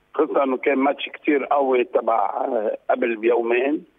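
A fast pace with fairly even intonation and a slightly husky edge. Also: man, medium pitch for a man.

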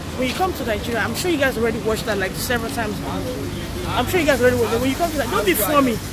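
The voice sounds dry, without echo, while loud background noise runs underneath. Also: woman. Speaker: travel vlogger. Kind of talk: casual vlog chat. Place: street. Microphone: phone near.

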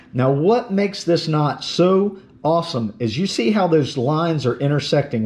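A man's fairly high-pitched, slightly mellow voice at a moderate pace, with lively intonation

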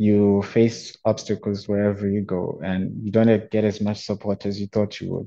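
A man's fairly low voice, dark and mellow in tone, at a moderate pace with monotone, flat intonation over a quiet background. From Zimbabwe. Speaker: student and youth researcher; panelist. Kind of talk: research presentation. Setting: online webinar, video call. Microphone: video call.

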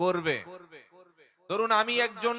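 A man with a high pitch speaks in an animated tone, his voice raised and projected. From West Bengal, South 24 Parganas (Baruipur). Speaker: Islamic preacher. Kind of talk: religious sermon at a public gathering. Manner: animated, engaging the crowd.

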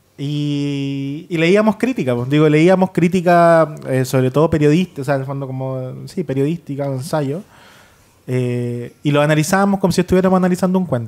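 A man speaks in a normal speaking voice with a fairly high pitch. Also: ordinary pitch variation, moderate pace. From Chile. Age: 20s. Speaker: writer; guest. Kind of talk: panel discussion. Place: studio. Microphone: studio mic.

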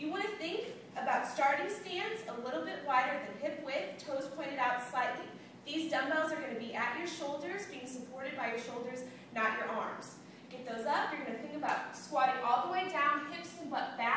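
Noticeable background noise and strong room echo surround a woman's voice. She has a high pitch and a moderate pace. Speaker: fitness instructor. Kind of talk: tutorial. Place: gym. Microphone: camera far.

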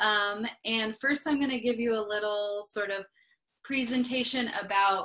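Fairly slow and fairly even in intonation, a woman talks against a quiet background. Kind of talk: casual presentation intro. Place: home room. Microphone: video call.

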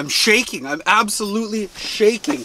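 A man speaks in a raised, projected voice. The sound is dry with no echo, and background noise is noticeable. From Winnipeg, Manitoba, Canada. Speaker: ice fishing video creator. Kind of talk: casual vlog narration. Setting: outdoors on a frozen lake. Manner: animated. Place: tent. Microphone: phone near.

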